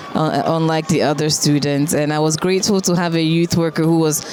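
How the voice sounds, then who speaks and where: A woman with a Ghanaian accent talks at a moderate pace in a fairly low pitch. Noticeable background noise sits behind her. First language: Twi. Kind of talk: interview.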